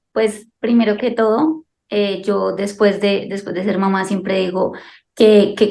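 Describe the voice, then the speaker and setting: A woman speaks in a plain, everyday voice at a medium pitch. Her pace is fairly slow and her intonation fairly even. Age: 20s. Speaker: soldier and mother. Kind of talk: interview. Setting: video call.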